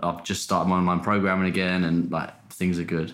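The speaker has a southern English accent and a fairly quick pace. Intonation is monotone and flat, with audible room echo. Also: man. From Portsmouth, England. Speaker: content creator and personal trainer. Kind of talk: casual chat.

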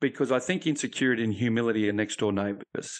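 Against a quiet background, a man with an Australian accent talks at a very fast pace. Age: 50s. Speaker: ex-police officer, resilience consultant and author. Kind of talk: interview testimony.

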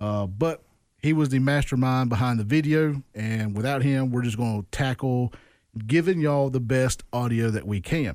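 With a Mississippi accent, a man speaks at a moderate pace. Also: medium pitch for a man, ordinary pitch variation. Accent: US Southern (Mississippi). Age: 30s. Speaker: podcast host. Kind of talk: casual interview.

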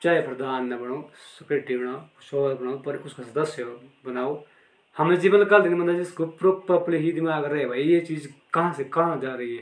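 A man with an unremarkable speaking voice, fairly high pitch, ordinary pitch variation, big swings in loudness and a moderate pace. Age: 30s. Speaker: local villager discussing panchayat affairs. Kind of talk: casual chat.

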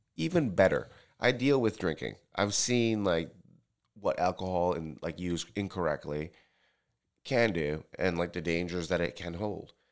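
A man with a New York accent and very deep, low pitch, at a moderate pace with ordinary pitch variation and long, frequent pauses. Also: very clean recording, silent background. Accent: American English, New York area. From Tokyo, Japan, then US from third grade. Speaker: bartender. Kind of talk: casual chat.

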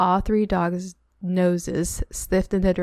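The text is read aloud plainly. The intonation stays fairly even.

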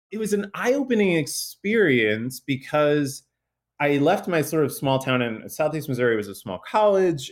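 On a very clean recording with a silent background, a man with an American accent speaks in an ordinary speaking voice, with a fairly high pitch and lively intonation. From southern Illinois, US Midwest. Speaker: researcher and author. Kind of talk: interview conversation.

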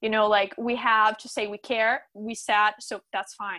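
A woman speaks at a moderate pace. Her fairly high voice has a bright, sharp tone. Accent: Portuguese. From Brazil, Sao Paulo. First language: Portuguese. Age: young. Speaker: gender equality activist. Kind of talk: casual chat.

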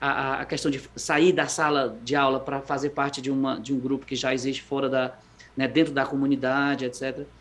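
A man speaks with monotone, flat intonation. His fairly high voice keeps a moderate pace. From Brazil, Fortaleza (Ceará). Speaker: educator living abroad. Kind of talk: interview conversation. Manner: halting, with many repetitions.

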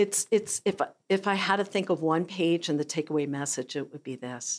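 On a very clean recording with a silent background, a woman speaks at a fairly slow pace in a fairly low pitch with ordinary pitch variation. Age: 60s. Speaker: author and speech language pathologist. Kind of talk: interview. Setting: studio. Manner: animated.

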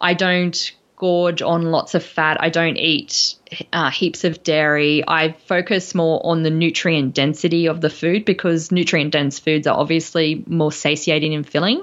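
A woman with an Australian accent talks at a moderate pace and a fairly low pitch against a quiet background. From Brisbane, Australia. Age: 40s. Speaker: nutritional therapist and podcast host. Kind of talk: casual interview chat. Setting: remote call across time zones.

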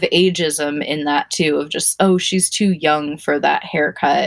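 In a plain, everyday voice, a woman with an American accent speaks at a fairly slow pace with fairly even intonation. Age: 30s. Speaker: hairstylist. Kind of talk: interview, personal storytelling.

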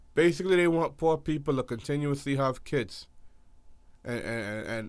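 A man of medium pitch speaks at a moderate pace, his pitch varying in an ordinary way. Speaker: podcast co-host.

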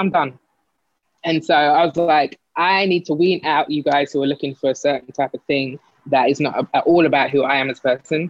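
An animated woman with an American accent talks at a moderate pace in a very deep, low voice with ordinary pitch variation. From South London. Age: 40s. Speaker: advertising executive, guest. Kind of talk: casual interview chat. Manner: animated, laughs often.

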